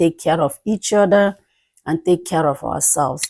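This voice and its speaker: Keeping a moderate pace, a woman speaks at a fairly low pitch with fairly even intonation. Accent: Nigerian. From Nigeria, Imo State (Igbo area). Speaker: nurse practitioner. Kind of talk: interview testimony.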